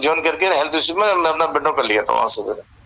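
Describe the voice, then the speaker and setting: Against noticeable background noise, a man speaks in a high pitch with ordinary pitch variation. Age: 60s. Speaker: retired bank manager. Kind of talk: casual chat. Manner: halting.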